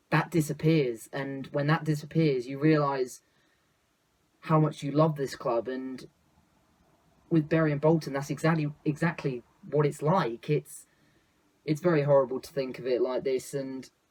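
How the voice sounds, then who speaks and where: Leaving long, frequent pauses, a man with a fairly high pitch speaks somewhat breathily, his intonation fairly even. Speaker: football YouTuber. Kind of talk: opinion vlog monologue. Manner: fast; sometimes quiet.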